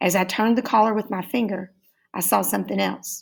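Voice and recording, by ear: The background is quiet. A person is reading aloud in a natural voice.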